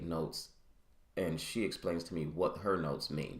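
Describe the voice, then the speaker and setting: A mumbling man with a very deep, low pitch, audible room echo, and a moderate pace. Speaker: podcaster and vlogger. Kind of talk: casual solo monologue. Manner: halting.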